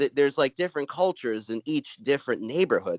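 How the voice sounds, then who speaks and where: Fast and lively, a man with a Brooklyn accent speaks very quickly at a fairly high pitch, recorded dry and close with no echo. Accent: Brooklyn New York. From Brooklyn, New York. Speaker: stand-up comedian. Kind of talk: casual chat. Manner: halting, many filler words.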